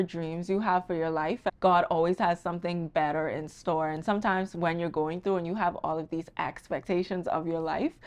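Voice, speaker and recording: Fairly quick, nearly pause-free speech with a Bahamian accent and fairly even intonation, against a quiet background. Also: woman. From Bahamas. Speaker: wealth strategist. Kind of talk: casual podcast conversation.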